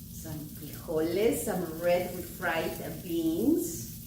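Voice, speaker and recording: Against noticeable background noise, a woman speaks in a fairly low voice with a warm tone. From El Salvador. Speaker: cookbook author. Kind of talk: cooking tutorial. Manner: warm, encouraging.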